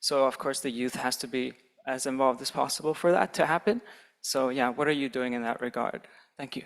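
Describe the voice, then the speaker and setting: A man with a plain, everyday voice, medium pitch, fairly even intonation and a fairly quick pace, in a very clean recording with a silent background. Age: 20s. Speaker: conference audience member. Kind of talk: audience question.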